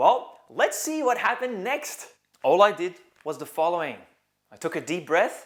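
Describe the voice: A man's high-pitched, fairly bright voice with big pitch swings at a fairly slow pace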